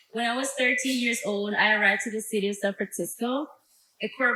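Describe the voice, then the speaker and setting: Her pace is moderate, and her pitch variation is ordinary. The woman talks with a Spanish accent. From Mexico. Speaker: former youth program intern. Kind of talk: speech.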